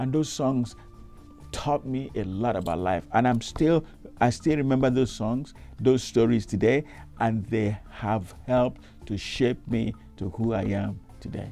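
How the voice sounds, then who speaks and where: Speaking fairly slowly in a medium-pitched voice, a man with a Nigerian accent uses lively intonation. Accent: Nigerian Igbo English. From Isuikwuato, Abia State, Nigeria. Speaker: reverend. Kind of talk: interview answer.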